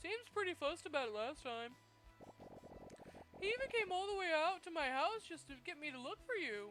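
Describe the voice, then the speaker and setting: Put-on character voice at an extremely high pitch, fairly quick yet broken by long, frequent pauses, with clear background noise. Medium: game stream. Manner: dry, awkward humor.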